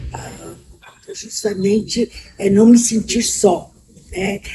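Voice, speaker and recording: There is noticeable background noise as a woman talks at a very slow pace. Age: 70s. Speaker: interviewee, vice-president of an LGBT elders association. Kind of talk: interview testimony. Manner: halting.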